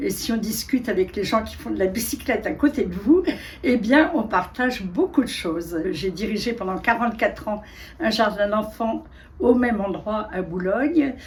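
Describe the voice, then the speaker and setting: Noticeable background noise sits behind a woman with a fairly high pitch. She speaks at a fairly slow pace with lively intonation. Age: 80s+. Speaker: retired kindergarten director and writer. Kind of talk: casual interview talk.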